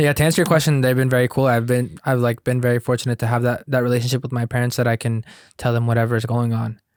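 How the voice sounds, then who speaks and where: Dry, close sound with no echo carries a man with a Spanish accent and a medium pitch. He talks at a very fast pace with fairly even intonation. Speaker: podcast host. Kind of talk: casual chat. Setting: studio.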